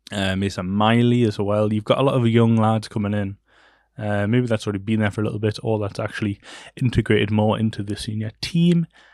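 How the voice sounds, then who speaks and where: On a very clean recording with a silent background, a man with a Geordie accent speaks fairly quickly with fairly even intonation. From northern England, Newcastle. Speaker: podcast host. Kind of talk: casual solo chat. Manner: hesitant, many fillers.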